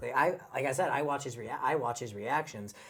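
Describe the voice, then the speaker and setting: A man talks at a very fast pace in a medium pitch. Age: 20s. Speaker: podcast co-host. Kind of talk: casual chat. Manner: halting, many repeated words.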